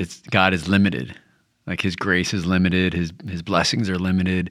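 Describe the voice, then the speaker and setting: At a moderate speed, a man talks in a very deep, low voice. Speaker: Bible discussion panelist. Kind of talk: prayer and discussion. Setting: studio.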